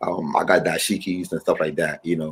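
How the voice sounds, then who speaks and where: Here a man speaks in a Ghanaian accent. His pace is moderate. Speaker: musician. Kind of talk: interview.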